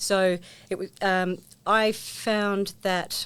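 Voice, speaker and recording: A woman speaks at a medium pitch with fairly even intonation in a New Zealand accent, on a very clean recording with a silent background. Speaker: former sports coach and volunteer. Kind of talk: interview. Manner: hesitant, many fillers.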